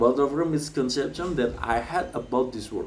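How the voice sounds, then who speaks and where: Someone speaks at a fairly slow pace with an Indonesian accent. Noticeable background noise and audible room echo fill the recording. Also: man. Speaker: graduate student speaker. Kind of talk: commencement speech. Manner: halting, with fillers.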